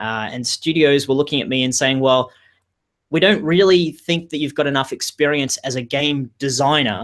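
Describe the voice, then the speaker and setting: The voice has an Australian accent. Its pitch varies in an ordinary way. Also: man. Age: 40s. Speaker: game industry career coach. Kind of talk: webinar interview. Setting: video webinar. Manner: fast.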